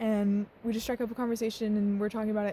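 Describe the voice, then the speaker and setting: A woman's voice sits fairly high in pitch. It is somewhat breathy, with a dark, mellow tone. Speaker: travel vlogger. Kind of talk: vlog narration. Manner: casual, lots of fillers.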